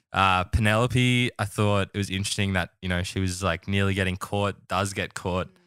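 Speaking in an Australian accent with hardly any pauses, a man delivers a bright, sharp tone at fairly low pitch in monotone, flat intonation, on a very clean recording with a silent background and a dry, close sound with no echo. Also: moderate pace. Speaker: podcast host. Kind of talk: casual chat.

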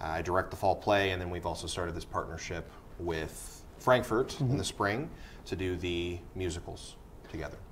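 A man's very deep, low voice at a moderate pace over light background noise. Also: ordinary pitch variation. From US Midwest, Indiana. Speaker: high school English teacher and theater director; high school English teacher. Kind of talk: interview. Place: studio.

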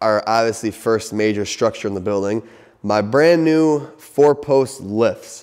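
Over a quiet background, a man with a dark, mellow tone speaks at a fairly slow pace with ordinary pitch variation. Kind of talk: casual vlog chat. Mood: excited, proud. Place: garage. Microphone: phone near.

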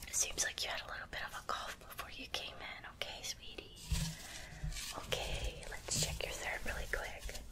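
A soft-spoken woman whispers at a moderate pace with a gentle tone. Loud background noise fills the recording. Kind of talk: soft-spoken role-play exam. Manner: soft ASMR whisper, gentle caring. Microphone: phone near.

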